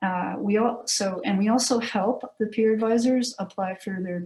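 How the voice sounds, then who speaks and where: Her voice is dark and mellow in tone, and this woman sounds somewhat breathy. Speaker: university career services staff presenter. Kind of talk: presentation at committee meeting.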